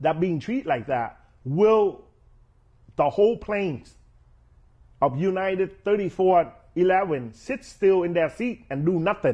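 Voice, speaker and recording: Over a quiet background, a man with a high voice speaks very slowly, leaving long, frequent pauses. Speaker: commentator. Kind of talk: interview. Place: studio. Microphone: lapel.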